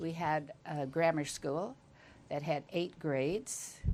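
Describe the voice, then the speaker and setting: Very deep and low in pitch, a woman speaks at a fairly slow pace with fairly even intonation. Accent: Californian. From US West, rural Northern California. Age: 90s. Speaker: interviewee, retired homemaker. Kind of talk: life-story interview.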